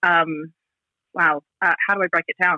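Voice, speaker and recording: A woman with an American accent, a fairly low pitch and a bright, sharp tone, recorded dry and close with no echo. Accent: Australian with slight American twang. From Australia. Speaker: cruise director. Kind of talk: casual chat.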